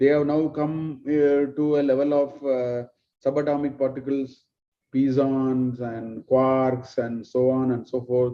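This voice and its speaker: A man with a Tamil accent talks at a fairly slow pace. His medium-pitched voice stays monotone and flat. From South India, Tamil. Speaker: spiritual teacher. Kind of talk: lecture.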